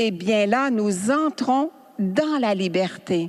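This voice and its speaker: Speaking very slowly, a woman uses a medium pitch and lively intonation. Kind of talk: spiritual teaching talk. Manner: animated.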